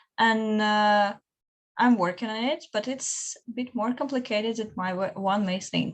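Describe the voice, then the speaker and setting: A woman with a fairly high voice talks at a fairly slow pace, her intonation fairly even. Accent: non-native. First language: not English. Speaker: student researcher. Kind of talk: panel discussion.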